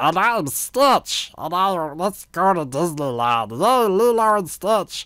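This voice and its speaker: A put-on character voice at middle pitch and a fairly slow pace, with hardly any pauses, on a very clean recording with a silent background. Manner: playful, excited.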